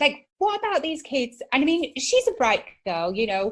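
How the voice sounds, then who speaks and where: A woman speaks with a northern English accent at a fairly quick pace. Her high voice moves in very wide pitch swings. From northern England, Manchester area. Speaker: psychotherapist and entrepreneur. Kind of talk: podcast interview. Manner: animated.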